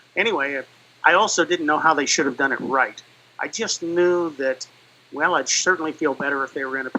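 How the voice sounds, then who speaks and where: A man with a fairly high pitch talks at a fairly quick pace, with ordinary pitch variation and big swings in loudness. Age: 60s. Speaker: fire service veteran, rescue trainer. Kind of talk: interview testimony. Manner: halting, many fillers.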